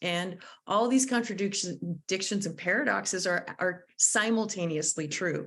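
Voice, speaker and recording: Lively in intonation and medium in pitch, a woman's voice is heard with audible room echo. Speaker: conflict mediator and trainer. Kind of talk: lecture.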